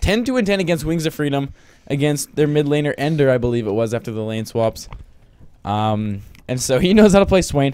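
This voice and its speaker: With an unremarkable speaking voice, a man speaks at a fairly quick pace, his fairly high pitch rising and falling in lively intonation. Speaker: esports caster. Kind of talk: live commentary.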